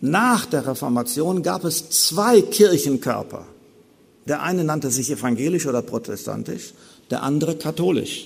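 Moving at a moderate pace, a man with a fairly high pitch and vocal fry swings his pitch very widely. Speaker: theologian giving a lecture on Luther. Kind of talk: lecture. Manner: formal.

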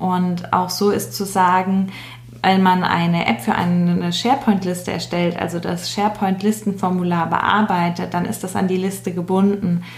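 Amid noticeable background noise and audible room echo, a woman speaks at a moderate pace. Her medium pitch varies in an ordinary way. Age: 20s. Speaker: change management trainee, SharePoint specialist. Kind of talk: explanatory interview talk.

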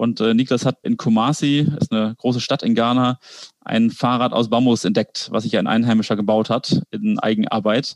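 A man with an ordinary speaking voice talks at a moderate pace and medium pitch, keeping his intonation fairly even. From Kiel, northern Germany. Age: 20s. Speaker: entrepreneur, bicycle company co-founder. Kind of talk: casual interview conversation. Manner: frequent filler sounds (äh).

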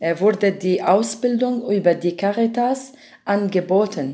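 A woman's dark, mellow voice with an Arabic accent at a very slow pace, on a very clean recording with a silent background. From Syria, Damascus. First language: Arabic (speaking German). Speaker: volunteer cultural mediator. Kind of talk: interview. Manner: halting.

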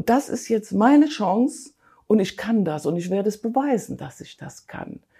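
A woman speaks at a moderate pace with a fairly high, somewhat breathy voice and a dark, mellow tone. Her pitch swings very widely and her loudness rises and falls a lot. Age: 60s. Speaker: weight-loss program participant. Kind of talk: interview testimony.

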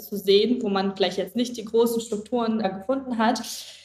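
A woman with a fairly high voice and ordinary pitch variation is heard over noticeable background noise. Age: 20s. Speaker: head of HR at a food company. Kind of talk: podcast interview.

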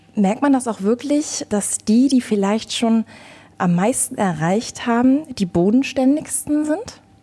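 Over noticeable background noise, a woman with a high pitch speaks very slowly with lively intonation. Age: 20s. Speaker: radio podcast host. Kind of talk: interview.

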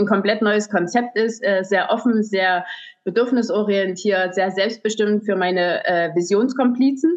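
A very slow pace with ordinary pitch variation. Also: woman. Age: 40s. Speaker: hairdresser and salon owner. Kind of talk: podcast interview. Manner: halting, many fillers.

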